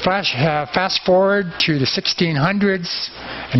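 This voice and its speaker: A man's voice with ordinary pitch variation and light background noise. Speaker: presenter. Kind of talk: lecture. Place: garden. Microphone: headset.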